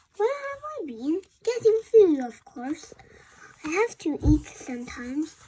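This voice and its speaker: A woman's put-on character voice, extremely high in pitch, at a fairly slow pace, with very wide pitch swings and big swings in loudness. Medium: read story.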